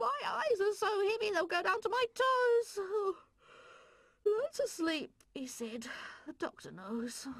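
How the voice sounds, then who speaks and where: A female-sounding, cartoonish character voice speaks at an extremely high pitch, with very wide pitch swings. The pace is fairly slow, broken by long, frequent pauses. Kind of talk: children's puppet show. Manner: fussy, theatrical, scolding.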